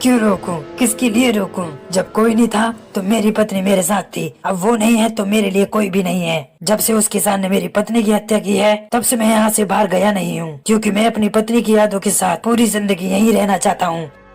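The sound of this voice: Over faint background music, a cartoonish character voice runs at a fairly quick pace and fairly high pitch.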